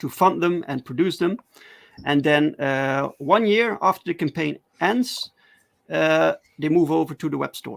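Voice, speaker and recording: A man talks at a fairly slow pace, fairly high in pitch, with lively intonation and long, frequent pauses. The sound is dry and close with no echo, on a very clean recording with a silent background. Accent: non-native. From Netherlands. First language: Dutch. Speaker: comic book writer. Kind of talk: interview. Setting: livestream. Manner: halting, hesitant.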